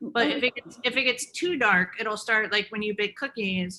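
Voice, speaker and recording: A woman with an American accent, bright and sharp in tone, at a moderate pace. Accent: Southern, faint unless drinking. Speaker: chef and cookbook author. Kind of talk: conversational interview.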